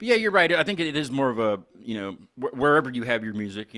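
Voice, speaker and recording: With an Appalachian accent, a man talks very fast in a bright, sharp tone with ordinary pitch variation, in a very clean recording with a silent background. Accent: mild Appalachian US. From northern West Virginia. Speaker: podcast host. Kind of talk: casual chat.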